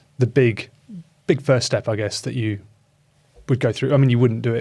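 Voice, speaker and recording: Speaking at a moderate pace with a British accent, a man has a dark, mellow tone, a medium pitch and fairly even intonation. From UK. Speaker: podcast host. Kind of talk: podcast interview.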